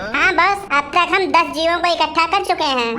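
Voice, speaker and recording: A squeaky, cartoonish character voice at an extremely high pitch and a fairly quick pace, with clear background noise. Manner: jokey, flattering.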